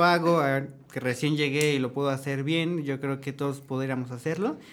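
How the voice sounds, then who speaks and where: A man's fairly high voice, an ordinary speaking voice, with ordinary pitch variation. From Mexico, State of Mexico. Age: 20s. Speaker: chef. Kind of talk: casual panel discussion.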